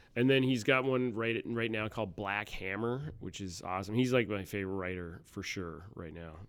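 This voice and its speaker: This man has a plain, everyday voice, fairly low in pitch with ordinary pitch variation, speaking at a moderate pace with big swings in loudness. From Canada, Ottawa area. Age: 40s. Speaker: stand-up comedian. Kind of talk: casual chat.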